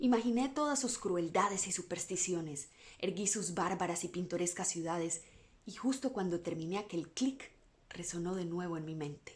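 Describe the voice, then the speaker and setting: A woman speaks with lively intonation and a fairly low pitch. Her voice is somewhat breathy. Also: moderate pace. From Latin America. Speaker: voice-over artist. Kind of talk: bedtime story reading.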